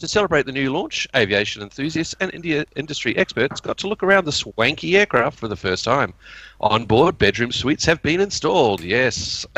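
Against a quiet background, a man speaks with a bright, sharp tone, vocal fry and very wide pitch swings, the sound dry and close with no echo. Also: fairly high pitch for a man. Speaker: guest podcast co-host. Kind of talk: casual chat.

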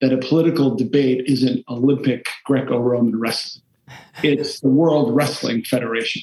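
The speaker is a man. A somewhat breathy quality runs through his voice. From Massachusetts, Taunton, Portuguese immigrant enclave. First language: Portuguese. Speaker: foundation CEO, former government official. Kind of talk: interview.

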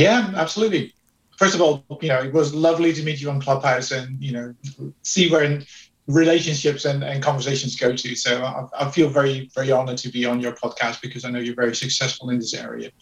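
A man talks at a very fast pace with ordinary pitch variation. His voice is somewhat breathy. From Netherlands. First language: Dutch. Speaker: HR executive. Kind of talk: interview. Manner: hesitant with fillers.

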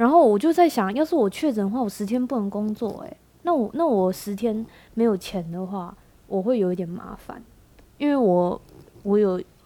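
With lively intonation and big swings in loudness, a woman speaks at a fairly high pitch and moderate pace in a dark, mellow tone. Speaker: podcast host. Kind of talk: casual chat.

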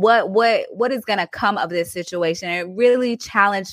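An animated woman speaks at a moderate pace with a bright, sharp tone and lively intonation, in a dry, close sound with no echo. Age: 30s. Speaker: podcast host and nurse wellness coach. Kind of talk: casual interview chat.

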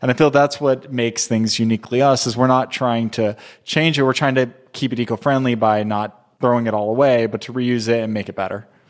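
A man with an ordinary speaking voice talks fairly quickly at medium pitch with fairly even intonation. The recording is very clean, with a silent background. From Southern California. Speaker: candle company co-founder. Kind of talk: casual interview chat.

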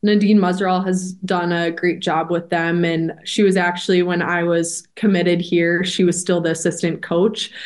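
This is a plain, everyday voice with an American accent. It moves at a moderate pace with fairly even intonation. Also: woman. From Minnesota, Edina. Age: 20s. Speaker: college hockey player. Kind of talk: interview.

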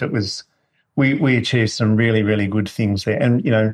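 A man with an Australian accent, medium pitch, fairly even intonation and a fairly quick pace. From New South Wales, Australia. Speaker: food business founder. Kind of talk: interview. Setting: at his home.

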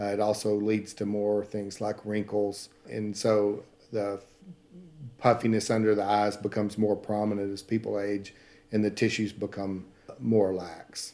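A man speaks in a fairly low, dark, mellow voice with a Southern accent. His intonation is flat and monotone. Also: fairly slow pace. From Texas (Paris, northeast Texas). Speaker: plastic surgeon. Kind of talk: interview.

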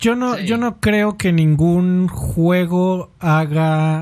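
A man's high-pitched, dark, mellow voice with ordinary pitch variation at a very slow pace, on a very clean recording with a silent background. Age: 30s. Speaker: video game podcast host. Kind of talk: casual chat.

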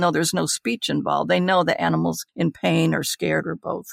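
A woman at a moderate pace, her sound dry and close with no echo. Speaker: clinical psychologist and author. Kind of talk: casual interview.

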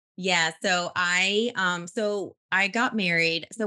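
A woman's fairly low pitch in a bright, sharp tone, with ordinary pitch variation. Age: 40s. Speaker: life coach for mothers. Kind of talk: podcast interview. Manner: animated.

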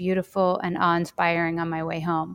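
Recorded very cleanly against a silent background, a woman talks at a fairly quick pace, the sound dry and close with no echo. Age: 40s. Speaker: Jungian somatics teacher. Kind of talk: interview conversation.

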